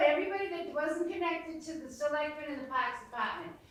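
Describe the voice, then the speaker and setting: A woman with an American accent speaks at a fairly quick pace. Audible room echo and noticeable background noise are present. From Massachusetts, outside Boston. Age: 60s. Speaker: audience member. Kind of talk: audience comment.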